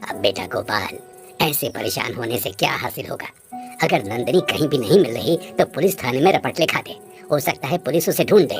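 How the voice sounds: A man performs a cartoonish character voice at a medium pitch. He talks at a fairly quick pace with clear music in the background.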